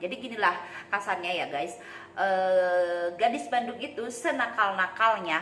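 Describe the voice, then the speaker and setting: A woman with a West Javanese accent speaks at a moderate pace, her medium pitch swinging very widely. The room echoes audibly, and background noise is noticeable. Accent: Sundanese accent in Indonesian. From Sunda region, West Java, Indonesia. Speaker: vlogger. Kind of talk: casual talk to camera. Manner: halting, many fillers.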